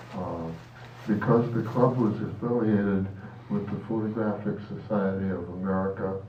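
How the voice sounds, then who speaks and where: Speech at a fairly slow pace comes with audible room echo and noticeable background noise. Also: man. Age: 90s. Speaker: photographer. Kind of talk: reading aloud. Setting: club meeting.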